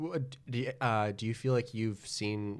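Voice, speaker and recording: A man has an ordinary speaking voice with a fairly low pitch. His pitch variation is ordinary. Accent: American. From Wisconsin, Milwaukee. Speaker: game show podcast co-host. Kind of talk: casual chat.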